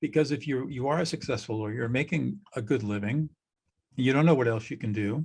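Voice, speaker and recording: Somewhat breathy and medium-pitched, a man with an American accent talks at a fairly quick pace with ordinary pitch variation. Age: 70s. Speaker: mediator, former trial lawyer. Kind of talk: podcast interview.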